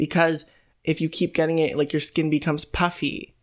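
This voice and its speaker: A man talks with an unremarkable speaking voice, pitched fairly high and delivered at a moderate tempo, on a very clean recording where the background is silent. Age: 20s. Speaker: podcast co-host. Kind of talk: casual chat.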